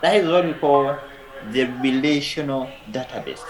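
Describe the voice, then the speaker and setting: Noticeable background noise and audible room echo surround a man speaking at a fairly high pitch. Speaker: lecturer. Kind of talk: lecture. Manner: slow.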